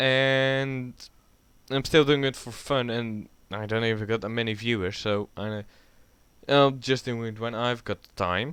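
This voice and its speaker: With a Dutch accent, a man speaks at a fairly slow pace in a medium pitch. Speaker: YouTuber. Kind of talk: casual rant. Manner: rambling, halting.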